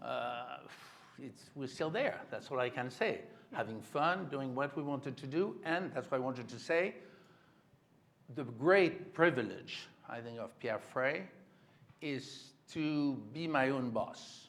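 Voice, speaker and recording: With a French accent and a fairly high voice, a man talks at a fairly slow pace with long, frequent pauses amid audible room echo. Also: ordinary pitch variation. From France. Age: 70s. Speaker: creative director of a textile house. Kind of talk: onstage interview.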